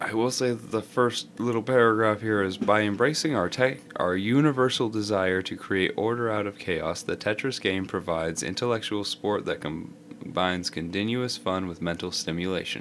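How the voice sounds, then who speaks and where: A man with a normal speaking voice, fairly low pitch and ordinary pitch variation, at a moderate pace with hardly any pauses. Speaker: podcast co-host. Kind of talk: casual chat.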